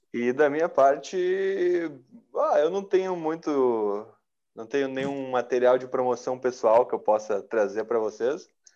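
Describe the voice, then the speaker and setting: The tone is dark and mellow, with lively intonation. Delivery comes at a fairly slow pace. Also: man. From Novo Hamburgo, Rio Grande do Sul, Brazil. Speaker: rock musician and singer. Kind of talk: casual interview chat.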